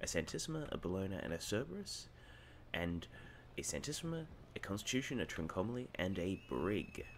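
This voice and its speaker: A man speaks quietly at a fairly quick pace. His pitch is very deep and low, with very wide swings. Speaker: gaming commentator. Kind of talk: gameplay commentary.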